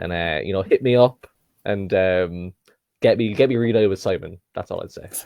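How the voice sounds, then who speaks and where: A man speaks at a moderate pace with an Irish accent. His loudness swings in big ways. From Ireland, Cork. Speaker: podcast guest. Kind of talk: casual chat.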